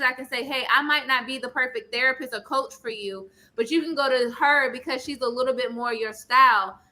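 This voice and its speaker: Raising and projecting her voice, a woman talks at a very fast pace with a high pitch and an animated, bright, sharp tone. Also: hardly any pauses. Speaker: therapist. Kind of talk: panel discussion. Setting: live stream show. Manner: loud.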